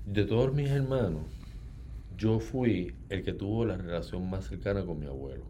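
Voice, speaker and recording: With audible room echo, a man speaks in a very deep, low pitch and a dark, mellow tone, using vocal fry and very wide pitch swings. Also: fairly slow pace. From Puerto Rico, Ponce. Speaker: novelist. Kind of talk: interview.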